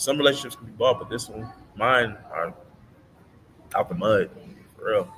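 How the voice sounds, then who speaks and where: A man with an American accent, medium pitch and ordinary pitch variation at a moderate pace, with big swings in loudness, long, frequent pauses and noticeable background noise. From US Midwest, Madison, Wisconsin. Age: 30s. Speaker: livestreamer, business networker. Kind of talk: live stream monologue. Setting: live stream. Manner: halting, repetitive.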